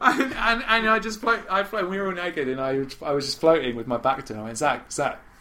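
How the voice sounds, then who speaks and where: A man speaks at a high pitch and a fairly quick pace, with very wide pitch swings. Noticeable background noise is present. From Britain. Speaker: podcast co-host. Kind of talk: casual chat.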